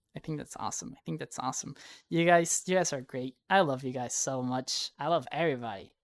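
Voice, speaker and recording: At a fairly quick pace, the speech comes through on a very clean recording with a silent background. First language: Spanish. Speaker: streamer. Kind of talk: casual chat. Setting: livestream.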